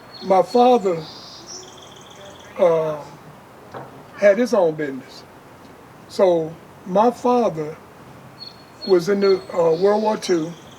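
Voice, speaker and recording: Speech comes at a very slow pace with long, frequent pauses and ordinary pitch variation, over noticeable background noise. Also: man, high pitch for a man. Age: 60s. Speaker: entrepreneur. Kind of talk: interview. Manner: casual.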